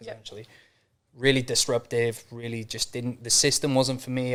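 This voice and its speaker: A man with a North Welsh accent speaks in a monotone, flat intonation. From North Wales. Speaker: mindset and business coach. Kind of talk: podcast interview. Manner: casual, fast with fillers.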